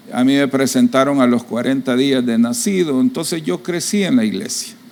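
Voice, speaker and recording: Through noticeable background noise, a man's voice moves in very wide pitch swings. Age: 60s. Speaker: pastor. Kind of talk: sermon.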